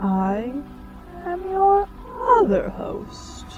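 A female-sounding, put-on character voice over clear background noise. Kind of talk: theme park dark ride narration. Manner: theatrical, sinister, drily playful.

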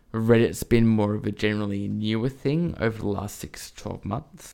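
This man talks with an Australian accent. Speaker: retail store manager. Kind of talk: casual chat.

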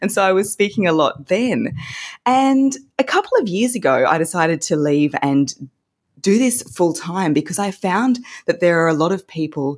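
A woman's fairly low voice with lively intonation at a moderate pace, on a very clean recording with a silent background. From Australia. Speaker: voice coach. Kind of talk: casual interview chat.

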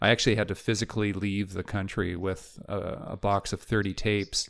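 A man with a Canadian accent and a fairly low pitch, at a fairly quick pace, on a very clean recording with a silent background. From Vancouver, western Canada. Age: 50s. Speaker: film editor. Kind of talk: casual interview. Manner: halting, repeats words.

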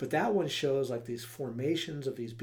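Here a man with an American accent speaks at a fairly quick pace. His pitch is medium with ordinary variation, and room echo is audible. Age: 40s. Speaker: podcast co-host. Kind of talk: casual chat.

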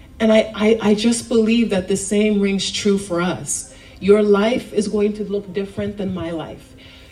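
Noticeable noise runs in the background. Over it, a woman talks fairly slowly. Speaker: youth speaker giving a message at church. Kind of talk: sermon. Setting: church. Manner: informal, conversational with filler words.

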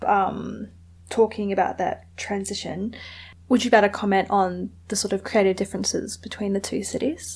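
A woman speaks at a moderate pace with fairly even intonation, a medium pitch, and vocal fry. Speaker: podcast host. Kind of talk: interview chat. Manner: low energy, contemplative.

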